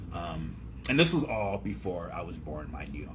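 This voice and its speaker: A man with an American accent speaks at a very deep, low pitch with vocal fry, and the room echo is audible. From San Diego, California. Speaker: rapper. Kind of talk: radio interview. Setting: radio studio. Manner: halting.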